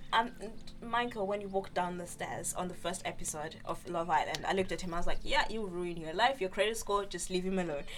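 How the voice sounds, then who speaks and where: Medium-pitched woman at a very fast pace, ordinary pitch variation, music in the background. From Zimbabwe, then UK. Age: 20s. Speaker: podcast co-host. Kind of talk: casual chat.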